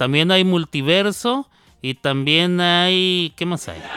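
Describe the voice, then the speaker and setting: Music plays in the background while a man talks at a very slow pace. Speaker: radio host. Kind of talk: casual chat. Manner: halting.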